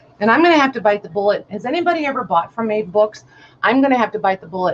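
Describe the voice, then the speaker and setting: A woman speaks with an American accent and lively intonation. Noticeable background noise is present. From Illinois, US. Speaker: online vintage seller. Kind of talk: live stream sale. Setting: live video stream.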